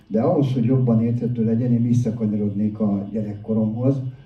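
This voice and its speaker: Audible room echo surrounds a man's medium-pitched voice. His intonation stays fairly even. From Hungary, Budapest. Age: 60s. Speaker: addiction counsellor and recovery speaker. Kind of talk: public talk, personal testimony.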